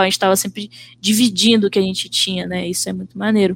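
A woman is speaking. Her intonation stays monotone and flat. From Brazil, Vitória, Espírito Santo. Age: 20s. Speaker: visual artist. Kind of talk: casual chat.

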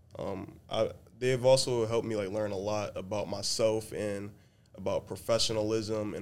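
A man with a normal speaking voice, fairly low in pitch, with fairly even intonation at a moderate pace. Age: young. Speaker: college student. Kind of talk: casual chat.

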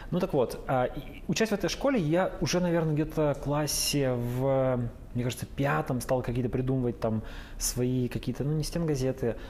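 A man with a medium pitch talks at a fairly quick pace. Noticeable background noise runs underneath. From Russia, Urals (Yekaterinburg). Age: 30s. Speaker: journalist, news editor. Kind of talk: casual interview. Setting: bar.

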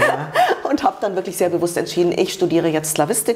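A woman's medium-pitched voice with ordinary pitch variation, over noticeable background noise. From Munich, Germany (born in Romania). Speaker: journalist and women's rights activist. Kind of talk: interview. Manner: halting.

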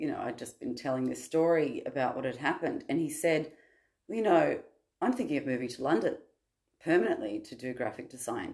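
Speaking with an Australian accent is a woman. Her pace is fairly quick. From Sydney, Australia. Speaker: podcast guest sharing personal story. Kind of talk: personal testimony in casual chat.

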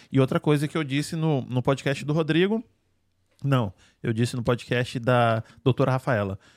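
With a Brazilian accent, a man speaks at a moderate pace with ordinary pitch variation and long, frequent pauses, the sound dry and close with no echo in a very clean recording with a silent background. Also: medium pitch for a man. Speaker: podcast host. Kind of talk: casual chat. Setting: studio. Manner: animated.

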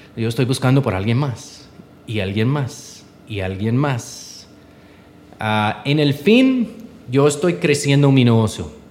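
With an English accent, a man at medium pitch talks fairly slowly, using lively intonation and long, frequent pauses. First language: English (speaking Spanish). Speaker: entrepreneur. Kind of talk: interview. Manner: halting.

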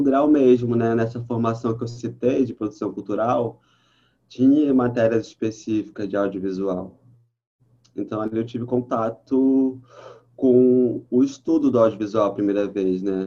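At a fairly slow pace, a man speaks with a dark, mellow tone at medium pitch and ordinary pitch variation. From Brazil, Baixada Fluminense (Rio de Janeiro). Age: 30s. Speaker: journalist and audiovisual producer. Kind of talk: casual interview.

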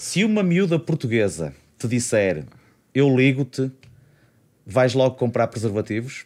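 A man speaks at a medium pitch and a fairly slow pace, with very wide pitch swings, very even loudness and long, frequent pauses. The recording is very clean, with a silent background. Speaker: podcast host. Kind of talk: casual chat. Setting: studio.

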